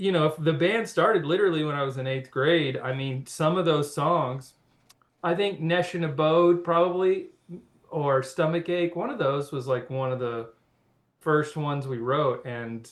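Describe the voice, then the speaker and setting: A man's fairly high voice, moderate pace, ordinary pitch variation. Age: 30s. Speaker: former rock band singer. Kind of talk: podcast interview. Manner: halting, many fillers and restarts.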